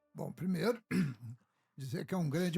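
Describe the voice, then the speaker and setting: A man's voice, somewhat breathy, rises and falls with lively intonation. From Rio de Janeiro, Brazil. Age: 70s. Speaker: state legislator. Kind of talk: interview. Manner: halting.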